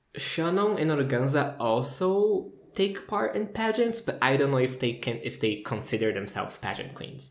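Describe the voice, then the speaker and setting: Talking at a fairly quick pace with a Portuguese accent, a man uses lively intonation amid noticeable background noise and audible room echo. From Brazil, São Paulo. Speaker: video reviewer. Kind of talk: casual commentary review. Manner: animated.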